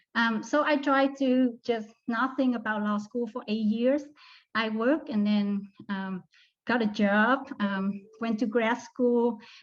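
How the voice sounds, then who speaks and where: In a Vietnamese accent, a woman speaks very slowly in a fairly high voice over a quiet background. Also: fairly even intonation. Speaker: law student. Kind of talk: testimony. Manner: hesitant, with frequent fillers.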